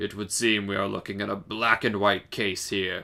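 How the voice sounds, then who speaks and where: Here a man puts on a character voice, raspy and fairly low. It stays monotone and flat at a moderate pace. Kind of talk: pompous dramatic reading. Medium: game stream. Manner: formal, authoritative.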